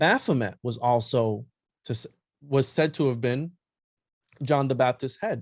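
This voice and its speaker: Speaking with a non-native accent, a man uses a medium pitch and ordinary pitch variation. The background is quiet. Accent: noticeable non-native pronunciation. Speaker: podcast guest, occult history researcher. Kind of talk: casual chat.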